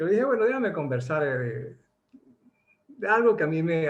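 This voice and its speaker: Lively intonation marks this man's speech, which moves at a moderate pace. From Venezuela. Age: 60s. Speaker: doctor and network marketer. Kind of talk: motivational talk. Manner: halting, many repetitions.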